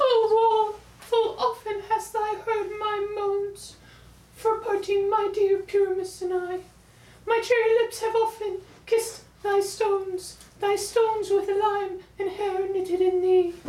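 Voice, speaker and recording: A woman uses a put-on character voice at an extremely high pitch. Her intonation is monotone and flat, at a fairly slow pace. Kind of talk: comic overacting. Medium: short film.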